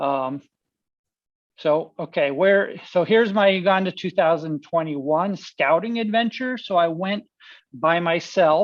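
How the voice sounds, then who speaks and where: Ordinary pitch variation at a fairly slow pace. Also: woman, fairly low pitch for a woman. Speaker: apologetics ministry founder. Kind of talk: presentation talk. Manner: halting, many fillers.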